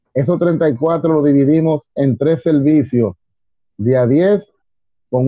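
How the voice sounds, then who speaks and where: The speaker talks at a very slow pace with a Dominican accent. Pitch variation is ordinary. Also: man. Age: 50s. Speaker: civil defense emergency brigade chief. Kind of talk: interview.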